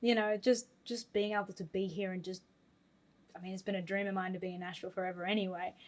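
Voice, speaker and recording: A woman talks at a very fast pace. Her pitch sits in the medium range. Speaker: country singer. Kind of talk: podcast interview. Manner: animated.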